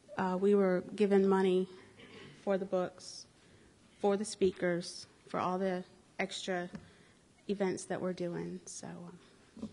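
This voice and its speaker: The speaker talks at a fairly slow pace with fairly even intonation. Long, frequent pauses break up the speech. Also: woman, medium pitch for a woman. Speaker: librarian. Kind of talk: public announcement at council meeting.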